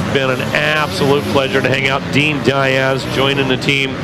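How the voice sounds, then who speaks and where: A man's voice over loud background noise, the sound dry with no echo. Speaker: race commentator. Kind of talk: commentary.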